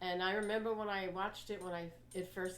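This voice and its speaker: Audible room echo surrounds a woman with an American accent. She speaks at a moderate pace in a medium pitch. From New York (Queens). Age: 80s+. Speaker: health coach and motivational speaker. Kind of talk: talk to a library audience.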